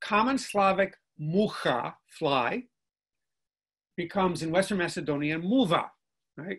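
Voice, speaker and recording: A man with a Chicago accent, high-pitched, fairly slow, with long, frequent pauses over a quiet background. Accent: Chicago American English. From Chicago South Side, US. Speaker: linguistics professor. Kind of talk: interview conversation. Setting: video call. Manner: repeats words when starting sentences; animated.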